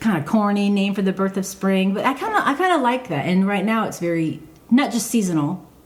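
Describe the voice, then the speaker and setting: A woman's medium-pitched voice at a very fast pace over noticeable background noise. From Michigan, raised in Georgia from third grade. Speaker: podcast co-host. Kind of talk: casual chat. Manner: halting, many fillers.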